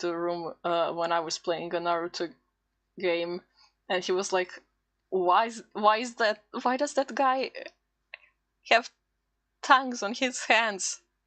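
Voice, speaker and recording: Pausing long and often, a woman with a non-native accent talks at a fairly slow pace and medium pitch, with ordinary pitch variation. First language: not English. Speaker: VTuber streamer. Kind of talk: casual live stream chat while drawing. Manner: halting, self-interrupting.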